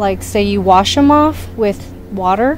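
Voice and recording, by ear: A woman talks at a fairly slow pace and medium pitch, with lively intonation. Faint background noise sits behind her.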